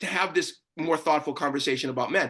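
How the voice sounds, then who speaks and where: A man with an American accent uses a raised, projected voice, bright and sharp in tone. His delivery is animated over a quiet background. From Boston. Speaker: panelist, gender activist. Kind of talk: panel discussion. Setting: video call. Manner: fast.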